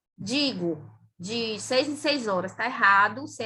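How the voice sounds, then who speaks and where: A woman's bright, sharp voice with a Brazilian accent at a very slow pace. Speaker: physician and pharmacology lecturer. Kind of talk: lecture.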